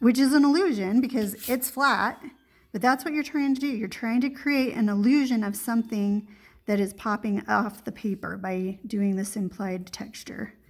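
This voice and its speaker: A woman with a fairly high, somewhat breathy voice talks at a moderate pace with ordinary pitch variation. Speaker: art teacher. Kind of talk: tutorial.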